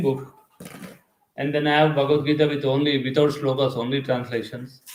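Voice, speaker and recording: A man speaks in a monotone with flat intonation, and room echo can be heard. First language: Telugu. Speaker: spiritual teacher. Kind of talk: lecture. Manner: conversational, halting with fillers.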